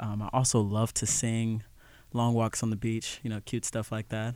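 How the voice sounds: A man with a fairly low pitch talks in a clear, smooth, slightly mellow tone.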